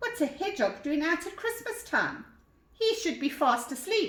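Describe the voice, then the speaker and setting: Putting on a character voice, a woman speaks at a moderate pace with an extremely high, squeaky pitch that swings very widely, sounding gruff and growling. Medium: read story. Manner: gruff, plodding.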